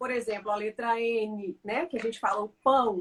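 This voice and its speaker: At a moderate pace, an unremarkable speaking voice keeps its intonation fairly even. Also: woman. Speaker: language teacher. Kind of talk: casual chat.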